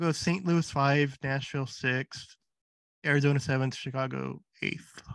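A man's plain, everyday voice, fairly high in pitch, at a moderate pace with fairly even intonation. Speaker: podcast host. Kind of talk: casual chat.

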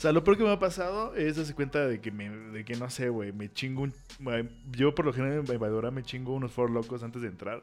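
Music plays behind a man speaking at a medium pitch. He talks at a fairly quick pace with lively intonation. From Mexico. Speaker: podcast co-host. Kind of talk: casual chat.

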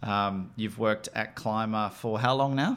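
This man has an unremarkable speaking voice at a medium pitch, talking at a fairly slow pace with fairly even intonation. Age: 40s. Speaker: company founder and CEO. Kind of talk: casual interview.

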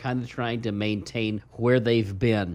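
In an Ozarks accent, a man talks at a moderate pace and a medium pitch. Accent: Ozarks Midwestern. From Ozarks, Missouri. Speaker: financial advisor radio host. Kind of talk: radio talk show. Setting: studio.

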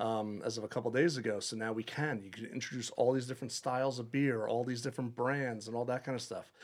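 On a very clean recording with a silent background, a man with an American accent speaks at medium pitch and a very fast pace, with hardly any pauses and fairly even intonation. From Long Island, New York. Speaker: head brewer. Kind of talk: casual interview.

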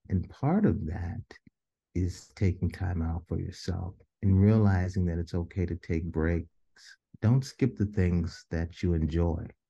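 A man with a very deep, low pitch and an American accent, somewhat breathy with a dark, mellow tone, fairly even intonation and a fairly slow pace against a quiet background. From Des Moines, Iowa. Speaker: mental health counselor. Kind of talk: interview.

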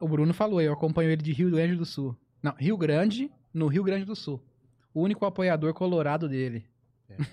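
A man's fairly high voice with a dark, mellow tone, a fairly quick pace, big swings in loudness, and long, frequent pauses. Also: ordinary pitch variation. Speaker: podcast co-host. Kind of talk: casual chat.

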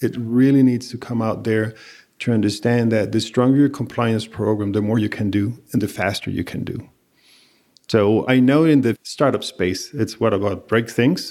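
Recorded very cleanly against a silent background, a man with a Spanish accent speaks at a moderate pace and medium pitch, with a dark, mellow tone and fairly even intonation. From Venezuela. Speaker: compliance executive. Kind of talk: interview.

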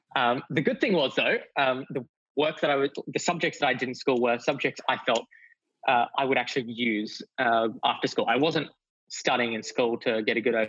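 A man with an Australian accent talks at a moderate pace with very even loudness. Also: medium pitch for a man, ordinary pitch variation. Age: 20s. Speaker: youth entrepreneur. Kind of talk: interview.

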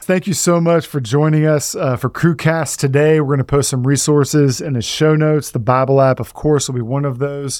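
With an American accent and an unremarkable speaking voice, a man of fairly high pitch speaks at a fairly quick pace with fairly even intonation and hardly any pauses. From Texas. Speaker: podcast host and pastor. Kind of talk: casual chat.

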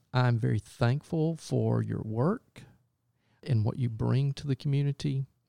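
A man with a Southern US accent talks at a fairly slow pace, and the sound is dry and close with no echo. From US South, upstate South Carolina. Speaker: church minister, podcast host. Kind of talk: scripted narration; interview.

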